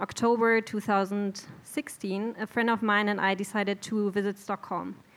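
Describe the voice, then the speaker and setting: In a German accent, a woman with a medium pitch speaks at a fairly slow pace on a very clean recording with a silent background. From Germany, Bielefeld. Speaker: immigrant storyteller. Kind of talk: live storytelling. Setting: stage with audience.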